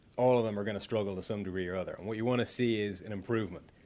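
A man speaks in an Irish accent. His pitch sits at a medium level. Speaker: football analyst. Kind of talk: casual chat.

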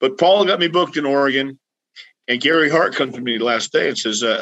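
An unremarkable speaking voice with an American accent moves at a fairly quick pace. The intonation is lively. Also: man. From Texas (El Paso). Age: 60s. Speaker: retired pro wrestler and wrestling trainer. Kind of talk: casual interview chat.

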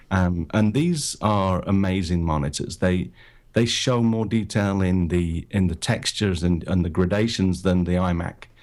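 With a British accent, a man speaks at a moderate pace in a very deep, low pitch with ordinary pitch variation. His loudness stays very even on a very clean recording with a silent background. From Britain. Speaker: photographer and podcaster. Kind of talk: casual interview chat. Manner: hesitant, filler-heavy.

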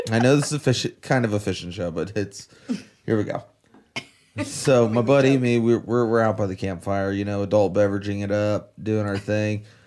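A Florida accent, fairly even intonation and a moderate pace. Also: man, fairly low pitch for a man. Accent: US Southern (Florida). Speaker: podcast co-host, angler. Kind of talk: casual chat.

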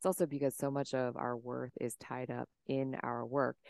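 A calm, soothing tone with an American accent. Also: woman. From Washington State, US. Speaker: nervous system business coach. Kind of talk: interview.

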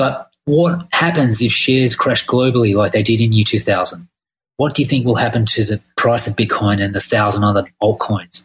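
Fairly quick, somewhat breathy speech in an Australian accent, with ordinary pitch variation. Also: man. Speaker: listener asking a question. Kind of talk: recorded listener question.

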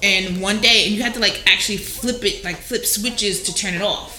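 Monotone, flat woman's voice with an American accent at medium pitch and moderate pace, over noticeable background noise. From New Jersey, Jersey City. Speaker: podcast co-host. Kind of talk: casual chat.

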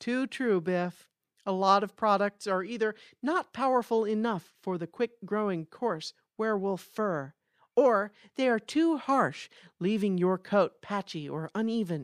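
A woman's normal speaking voice at medium pitch, fairly slow pace and lively intonation, dry and close with no echo, on a very clean recording with a silent background. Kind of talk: infomercial parody, scripted sketch.

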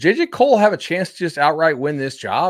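A man talks with lively intonation. The background is silent and the recording very clean. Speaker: podcast host. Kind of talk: casual interview chat.

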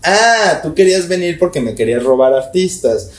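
With noticeable background noise behind him, a man with a Mexican accent talks at a fairly quick pace, his pitch swinging very widely. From Mexico (León, Guanajuato). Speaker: tattoo artist and studio owner. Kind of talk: casual interview chat.

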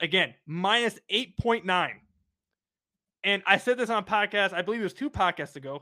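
Loud and animated, a man speaks at a high pitch. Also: ordinary pitch variation, moderate pace. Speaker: sports podcast host. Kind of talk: casual chat.

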